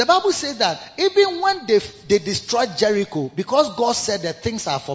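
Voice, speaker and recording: Over noticeable background noise, a man speaks at a fairly quick pace. His pitch swings very widely. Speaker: bishop and pastor. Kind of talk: sermon. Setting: church service with congregation.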